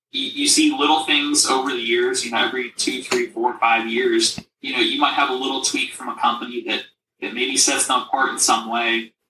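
A man's speech unfolds at a moderate pace. Behind him, music is playing. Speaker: company co-founder and CEO. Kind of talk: casual interview chat.

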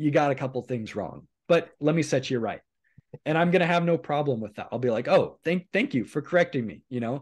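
Pitch varies in an ordinary way, and the background stays quiet. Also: man. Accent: Western US. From US Pacific Northwest, eastern Oregon. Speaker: YouTube host. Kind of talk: casual conversation.

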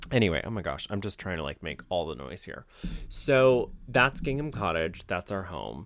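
On a very clean recording with a silent background, a man with an American accent speaks in a very deep, low pitch with vocal fry, an animated tone, very wide pitch swings and big swings in loudness. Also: moderate pace. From Ohio. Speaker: podcast host and YouTuber. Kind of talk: casual solo chat.

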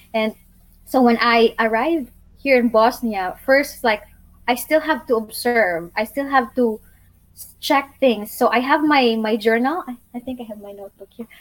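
Speaking at a moderate pace with a Filipino accent, this voice shows big swings in loudness and ordinary pitch variation. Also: woman, high pitch for a woman. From Philippines, Bohol island. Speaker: YouTuber and sustainable living advocate. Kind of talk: casual interview, storytelling. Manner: warm, earnest, sometimes halting.

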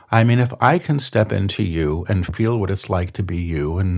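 Using a plain, everyday voice, a man with an American accent speaks at a moderate pace and fairly low pitch, with lively intonation. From New York City. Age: 50s. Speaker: spiritual medium. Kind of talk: interview. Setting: studio at a retreat center.

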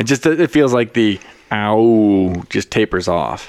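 A resonant man's voice, fairly low in pitch, at a very slow pace. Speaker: podcast co-host. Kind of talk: casual, profane banter.

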